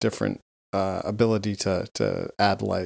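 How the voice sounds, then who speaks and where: The delivery is monotone and flat, at a moderate pace. The sound is dry and close, with no echo. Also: man. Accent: Canadian. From Vancouver, Canada. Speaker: podcast co-host. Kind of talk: casual banter.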